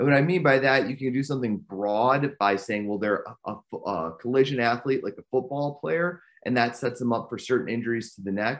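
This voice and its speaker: Over a quiet background, a man speaks at a fairly quick pace and medium pitch, with ordinary pitch variation and big swings in loudness. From US Midwest, Chicago area. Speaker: spine surgeon; presenter. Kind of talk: lecture. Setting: virtual lecture. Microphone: video call.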